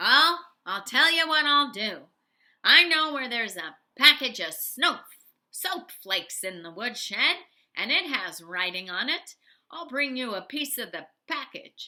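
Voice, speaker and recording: On a very clean recording with a silent background, a woman uses a put-on character voice, high and raised, projecting at a fairly slow pace. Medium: read story. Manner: sarcastic, complaining.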